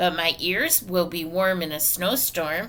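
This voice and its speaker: Putting on a character voice, a woman speaks raspy and fairly low at a fairly slow pace over light background noise. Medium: read story. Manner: proud, insistent.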